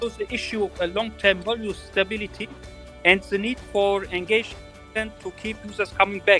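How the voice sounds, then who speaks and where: Music plays behind a man whose raised, projected voice sits at a high pitch with fairly even intonation, the sound dry and close with no echo. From Turkey. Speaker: real estate company owner. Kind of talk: interview answer. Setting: online audio chat.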